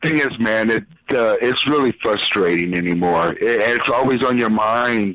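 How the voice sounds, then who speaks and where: At a medium pitch and moderate pace, a man talks in an ordinary speaking voice, with very even loudness and ordinary pitch variation. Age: 50s. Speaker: caller. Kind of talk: casual chat.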